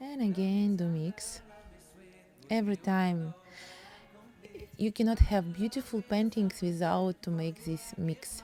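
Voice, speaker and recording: Against music in the background, a woman with a Russian accent speaks at a medium pitch and a very slow pace, with ordinary pitch variation and long, frequent pauses. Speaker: painting teacher. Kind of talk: tutorial. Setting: home studio. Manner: halting.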